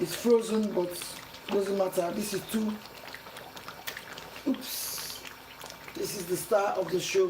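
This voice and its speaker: Against noticeable background noise, a woman talks at a very slow pace with fairly even intonation and long, frequent pauses. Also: medium pitch for a woman. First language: not English. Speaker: cooking channel host. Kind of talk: cooking tutorial.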